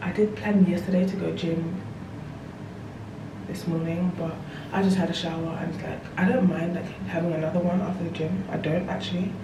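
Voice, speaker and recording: A woman talks at a fairly quick pace with fairly even intonation, leaving long, frequent pauses. Audible room echo and noticeable background noise surround her voice. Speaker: lifestyle vlogger. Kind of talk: casual vlog talk to camera. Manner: whispering.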